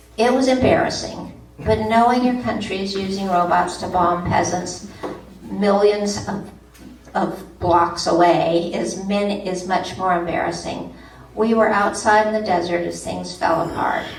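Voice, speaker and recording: The voice comes at a fairly slow pace with fairly even intonation, amid audible room echo and noticeable background noise. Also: woman, medium pitch for a woman. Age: 70s. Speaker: poet. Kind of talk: panel talk.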